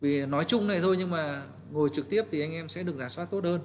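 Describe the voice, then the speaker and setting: Fairly high-pitched with ordinary pitch variation, a man delivers his words at a very fast pace. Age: 30s. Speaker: real estate team leader. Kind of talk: training talk. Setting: livestream. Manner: halting, many fillers.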